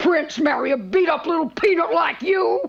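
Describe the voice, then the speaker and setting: Putting on a cartoonish character voice, a woman growls at a high pitch and a moderate pace, with very wide pitch swings. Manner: loud, coarse, brash.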